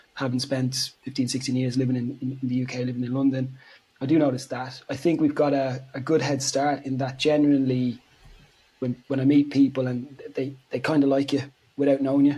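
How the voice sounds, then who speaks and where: Very fast and monotone, a man with an Irish accent speaks at medium pitch with flat intonation. His voice has a dark, mellow tone and sounds somewhat breathy. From Ireland. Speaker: physiotherapist. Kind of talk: interview.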